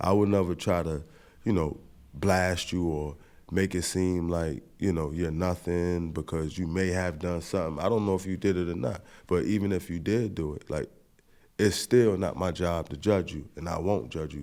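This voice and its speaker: A man with an American accent speaks at a moderate pace in a very deep, low pitch, with a dark, mellow tone and fairly even intonation. The recording is very clean, with a silent background. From Syracuse, New York, US. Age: 40s. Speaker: former prisoner turned youth mentor. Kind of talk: interview testimony. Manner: halting, repetitive false starts.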